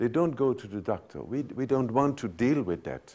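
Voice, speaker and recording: This man speaks at a medium pitch with a Dutch accent. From Netherlands. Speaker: physician and sexologist. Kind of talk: lecture. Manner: halting.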